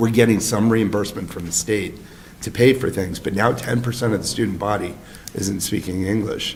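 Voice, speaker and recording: A man talks at a fairly quick pace in a fairly low, somewhat breathy voice with fairly even intonation. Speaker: select board chair. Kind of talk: town board meeting discussion.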